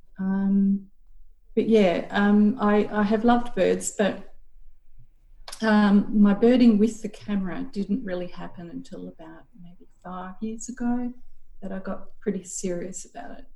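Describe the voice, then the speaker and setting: In an Australian accent, a woman with a medium pitch and a dark, mellow tone sounds somewhat breathy, keeping her intonation fairly even while her loudness swings widely. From Queensland, Australia. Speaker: university staff and amateur bird photographer. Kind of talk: interview.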